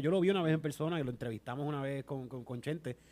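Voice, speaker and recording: Very fast speech from a man, fairly high in pitch. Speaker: podcast host. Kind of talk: casual chat. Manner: animated.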